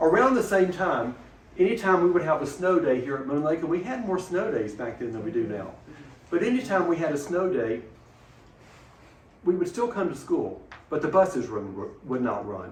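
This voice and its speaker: A man speaks at a moderate pace with a high pitch and very wide pitch swings, taking long, frequent pauses over noticeable background noise. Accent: Alabama. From Mentone, Alabama. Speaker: retired teacher and school principal. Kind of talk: oral history interview answer.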